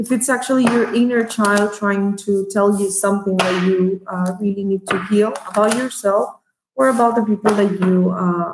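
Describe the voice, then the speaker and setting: A woman with a non-native accent speaks with fairly even intonation and very even loudness. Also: medium pitch for a woman, moderate pace. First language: Spanish. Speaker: tarot reader. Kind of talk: tarot reading monologue. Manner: halting, many fillers.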